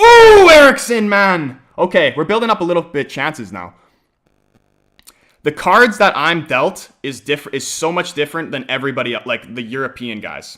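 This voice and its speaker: A man with an American accent speaks at a moderate pace, his pitch high for a man and his tone bright and sharp. His intonation is lively, broken by long, frequent pauses. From Canada. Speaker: football fan streamer. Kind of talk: live watch-along stream chat. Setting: live stream. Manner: casual, rambling with many fillers.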